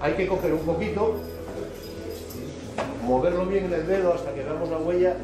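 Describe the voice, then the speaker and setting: Clear music plays in the background as a man speaks at a fairly slow pace with audible room echo. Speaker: woodturning demonstrator. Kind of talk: tutorial. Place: workshop. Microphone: camera far.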